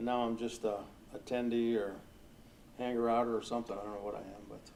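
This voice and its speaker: Very fast in pace, a man keeps talking. His intonation is flat and monotone. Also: medium pitch for a man. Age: 70s. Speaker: former arcade operator and pinball show promoter. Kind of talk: fireside chat with audience. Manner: casual, halting.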